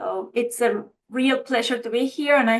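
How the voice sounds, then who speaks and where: A woman's fairly high voice in a monotone, flat delivery. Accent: Argentine. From Argentina. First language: Spanish. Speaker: architect and licensing official. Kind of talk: webinar panel introduction.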